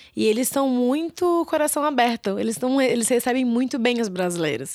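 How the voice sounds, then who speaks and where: Fairly quick female speech on a very clean recording with a silent background. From Brazil, São Paulo. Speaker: marketing director of a travel startup. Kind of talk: casual interview.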